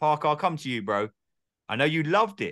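Speaking very fast against a quiet background, a man with an English accent has a fairly high voice with a bright, sharp tone and some vocal fry. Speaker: podcast host. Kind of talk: casual chat.

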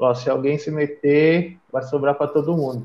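A man with a São Paulo accent speaks at a moderate pace in a fairly high pitch. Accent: Paulistano Brazilian Portuguese. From São Paulo, Brazil (east side). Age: 30s. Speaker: hardcore band member living abroad. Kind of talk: casual chat.

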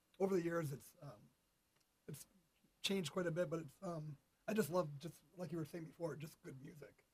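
A man's high-pitched, fairly quick speech, with ordinary pitch variation, big swings in loudness, and long, frequent pauses. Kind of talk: casual interview chat.

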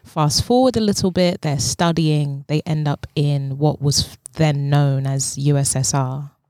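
A woman's very deep, low voice in a London accent, fairly slow, with ordinary pitch variation and a dry, close sound with no echo. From South London. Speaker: dance movement psychotherapist. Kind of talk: casual chat.

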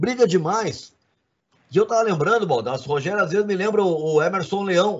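Talking at a fairly quick pace, a man uses a high voice with lively intonation. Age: 50s. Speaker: sports journalist and commentator. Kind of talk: casual sports debate.

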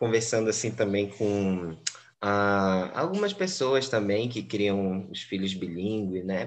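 A man speaks in an ordinary speaking voice, fairly low in pitch. His pace is fairly slow, with ordinary pitch variation. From Brazil, Belém (Pará). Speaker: English teacher. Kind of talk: interview.

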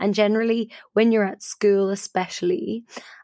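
Speaking at a moderate pace with an Irish accent, a woman is heard in a very clean recording with a silent background. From Ireland. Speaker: podcast host, storyteller and improviser. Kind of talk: casual storytelling chat.

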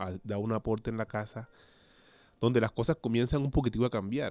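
An ordinary speaking voice from a man, medium in pitch with ordinary pitch variation, dry and close with no echo, in a very clean recording with a silent background. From Colombia, Cartagena de Indias (Caribbean coast). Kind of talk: interview testimony. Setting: studio.

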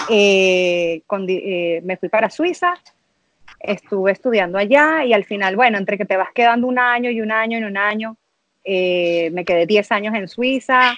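In a Venezuelan accent, a woman speaks fairly slowly at a medium pitch with ordinary pitch variation, the sound dry and close with no echo. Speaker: mother sharing birth story. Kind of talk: casual interview, personal testimony.

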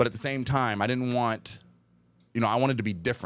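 On a very clean recording with a silent background, a man speaks at a very fast pace with ordinary pitch variation. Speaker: wedding DJ. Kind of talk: casual interview chat. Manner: animated.

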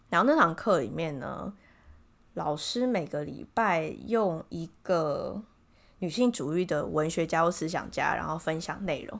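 In a very clean recording with a silent background, a woman with vocal fry speaks at a fairly low pitch and fairly slow pace, her intonation lively. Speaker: podcast co-host. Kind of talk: casual chat.

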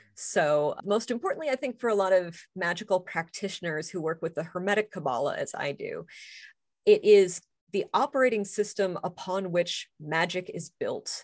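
A woman speaks in a plain, everyday voice at a medium pitch and a moderate pace, with lively intonation. The background is quiet. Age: 40s. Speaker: author and pagan clergy member. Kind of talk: casual interview.

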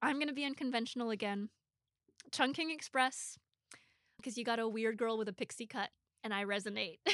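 Speaking with an American accent at a fairly quick pace, a woman uses a fairly high pitch and ordinary pitch variation, leaving long, frequent pauses, in a dry, close recording with no echo and a quiet background. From US Pacific Northwest. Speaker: film journalist and podcast co-host. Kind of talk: casual interview chat.

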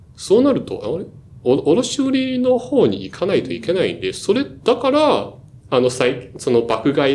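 At a moderate pace, a man speaks with a Chinese accent. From China, Shanghai. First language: Chinese (speaking Japanese). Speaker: management consultant. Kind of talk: casual chat. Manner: halting, many fillers.

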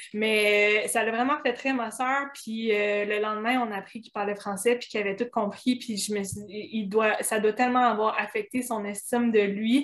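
A woman with a fairly high pitch speaks at a moderate pace with hardly any pauses and fairly even intonation. Her loudness swings widely, and there is noticeable background noise. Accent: Quebec. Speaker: blogger. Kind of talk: casual chat.

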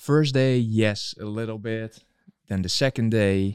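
Close and dry with no echo, a normal speaking voice from a man comes at a fairly slow pace, fairly low in pitch with fairly even intonation. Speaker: co-host, technical helper. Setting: live stream with chat.

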